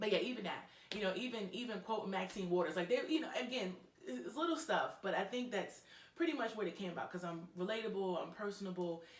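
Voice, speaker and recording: A woman with an American accent talks at a very fast pace. Room echo and noticeable background noise can be heard. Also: medium pitch for a woman, lively intonation. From New York. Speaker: professor and public speaker. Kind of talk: interview chat. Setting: studio. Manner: loud; animated.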